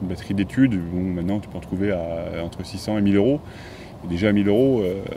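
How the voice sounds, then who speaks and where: Speech rushes by at a very fast pace with ordinary pitch variation. Noticeable background noise is present. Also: man, fairly low pitch for a man. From central France, Auvergne (Moulins area). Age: 30s. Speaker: motorcycle vlogger. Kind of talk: interview.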